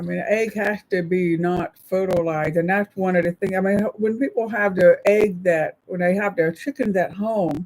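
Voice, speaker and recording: A woman in a normal speaking voice talks at a moderate pace with hardly any pauses and ordinary pitch variation, the sound dry and close with no echo. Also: medium pitch for a woman. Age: 60s. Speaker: live-stream co-host. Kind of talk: casual chat. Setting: live stream.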